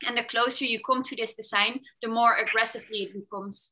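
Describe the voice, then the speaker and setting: The tone is bright and sharp, in a Dutch accent with fairly even intonation. The background is quiet. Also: woman. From Netherlands. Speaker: fashion tech designer. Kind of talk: presentation. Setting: video call. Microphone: video call.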